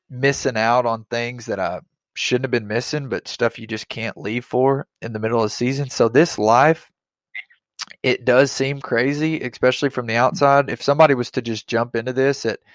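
A man talks at a moderate pace in a medium pitch with fairly even intonation, in a dry, close sound with no echo.

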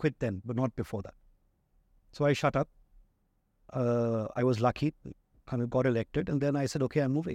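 A man in an Indian accent, medium pitch, fairly quick pace with long, frequent pauses, ordinary pitch variation, dry, close sound with no echo, and a very clean recording with a silent background. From India (childhood in Zambia until 12). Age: 40s. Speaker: business executive. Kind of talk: interview conversation.

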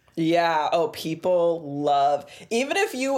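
The intonation is lively as this woman talks. Behind her, background noise is noticeable. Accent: American. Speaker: tech podcast co-host. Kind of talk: casual chat.

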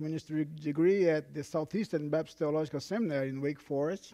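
Speaking in a Portuguese accent, a man has a dark, mellow tone and ordinary pitch variation. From Brazil. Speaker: pastor. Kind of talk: sermon. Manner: halting, with frequent fillers.

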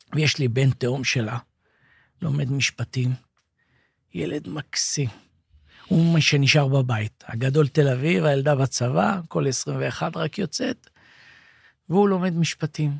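A man speaks at a fairly slow pace, with long, frequent pauses and a somewhat breathy, fairly high voice. His intonation is lively, and the sound is dry and close with no echo. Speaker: former soldier and captive. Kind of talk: interview testimony. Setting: studio.

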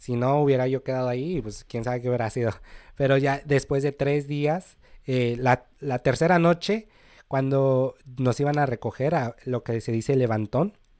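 This is a normal speaking voice from a man at a medium pitch. He talks at a moderate pace. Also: ordinary pitch variation, dry, close sound with no echo. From Mexico, Cholula, Puebla. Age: 20s. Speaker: immigrant sharing life story. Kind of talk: podcast interview, personal story. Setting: studio.

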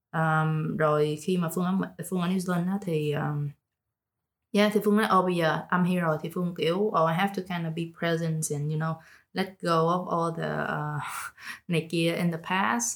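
Her fairly low pitch and fairly even intonation mark this woman's unremarkable speaking voice. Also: fairly slow pace. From Vietnam, Ho Chi Minh City. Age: 20s. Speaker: podcast guest. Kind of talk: casual chat. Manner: code-switching Vietnamese and English.

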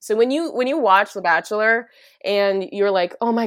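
In an American accent, a woman speaks in a normal speaking voice at a moderate pace with lively intonation. The recording is very clean, with a silent background. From US Midwest, northern Minnesota. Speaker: musician and Korean adoptee. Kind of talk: casual interview.

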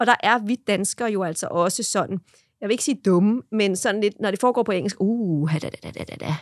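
In a normal speaking voice, a woman with a medium pitch talks at a moderate pace with ordinary pitch variation, the sound dry and close with no echo. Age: 30s. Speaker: social media content creator. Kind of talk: casual chat. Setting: studio.

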